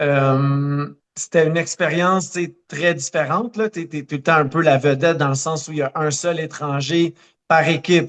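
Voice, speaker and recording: With a Quebec accent, a man talks at a fairly slow pace in a fairly high pitch, keeping his intonation fairly even. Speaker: running coach and marathoner. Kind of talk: podcast interview. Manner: many hesitations (euh).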